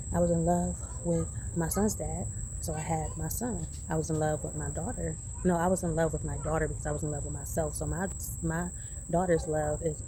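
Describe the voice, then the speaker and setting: A woman at a fairly quick pace, with audible room echo. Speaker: vlogger, single mother. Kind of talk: casual vlog monologue. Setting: outdoors in a garden. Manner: animated; speaking low.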